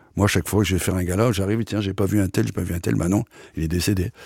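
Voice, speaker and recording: A very deep, low male voice, somewhat breathy, at a very fast pace with ordinary pitch variation, in a dry, close sound with no echo and a very clean recording with a silent background. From northern France (Picardy). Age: 70s. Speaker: accordionist and variety artist. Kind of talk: casual interview, storytelling.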